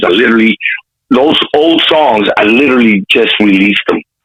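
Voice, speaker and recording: A man's voice at a moderate pace, with lively intonation. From Compton, California. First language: Spanish. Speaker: rapper. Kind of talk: casual interview. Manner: animated.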